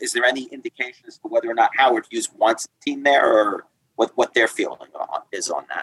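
A man with a New York accent talks at a fairly quick pace, and the sound is dry and close with no echo. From Long Island, New York. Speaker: attorney guest. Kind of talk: casual interview conversation.

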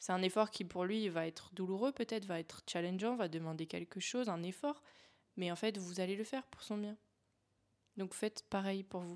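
Here is a woman with a plain, everyday voice, speaking at a moderate pace. Her pitch is medium, with ordinary pitch variation. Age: 20s. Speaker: life coach and podcast host. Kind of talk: casual solo monologue. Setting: home, in her apartment.

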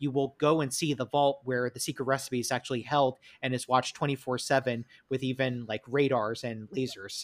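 A man in a New York accent, medium in pitch, monotone and flat at a fairly quick pace, dry and close with no echo. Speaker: podcast host. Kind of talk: casual chat. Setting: remote recording.

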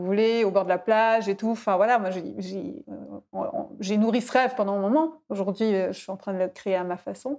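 This woman's voice has a dark, mellow tone and medium pitch, moving at a moderate pace. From Switzerland, canton of Fribourg. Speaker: podcast host and coach. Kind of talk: casual interview.

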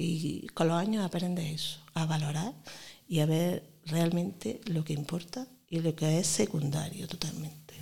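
A woman with a strong Granada accent speaks at a fairly low pitch in a dark, mellow tone, somewhat breathy, with ordinary pitch variation. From Granada, Spain. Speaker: primary school teacher. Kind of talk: interview.

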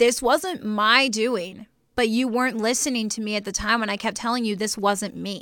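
In a very clean recording with a silent background, a woman with a fairly high pitch and a bright, sharp tone talks at a moderate pace with ordinary pitch variation. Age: 20s. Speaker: podcast co-host. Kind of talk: casual chat.

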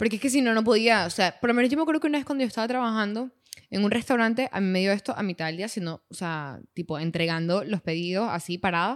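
A woman speaks very fast at a medium pitch, her intonation lively. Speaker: podcast co-host. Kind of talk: casual chat.

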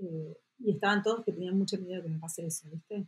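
Somewhat breathy, a woman's voice carries ordinary pitch variation. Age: 50s. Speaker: entrepreneur and author. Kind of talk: interview conversation.

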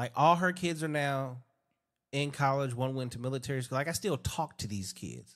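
At a moderate pace, an ordinary speaking voice carries ordinary pitch variation on a very clean recording with a silent background. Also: man, medium pitch for a man. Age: 40s. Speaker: podcast host. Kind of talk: casual chat.

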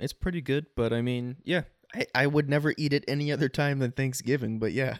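A normal speaking voice with an American accent moves at a fairly quick pace with fairly even intonation, in a dry, close sound with no echo. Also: man, fairly high pitch for a man. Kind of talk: casual banter. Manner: joking, interrupts a lot.

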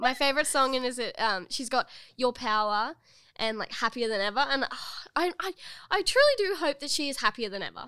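In a very clean recording with a silent background, a voice with an Australian accent comes through raised and projected, bright and sharp in tone, with lively intonation at a fairly quick pace. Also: woman, high pitch for a woman. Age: 20s. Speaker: podcast co-host. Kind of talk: casual chat. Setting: studio.

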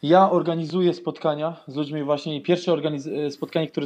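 Fairly quick and fairly high in pitch, this man has an unremarkable speaking voice with fairly even intonation. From Austria, Vienna. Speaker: YouTuber. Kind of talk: casual chat.

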